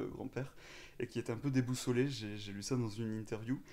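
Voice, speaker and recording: A man's dark, mellow voice with a slight southwestern French accent, fairly quick and fairly even in intonation. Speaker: podcast host, interviewer. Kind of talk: interview.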